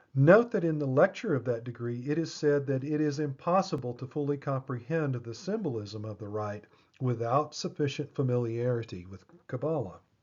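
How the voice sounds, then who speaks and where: With a plain, everyday voice, a man speaks at a moderate pace and medium pitch, his intonation lively and his loudness swinging widely. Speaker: lecturer on esoteric symbolism. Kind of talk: lecture. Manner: measured, explanatory.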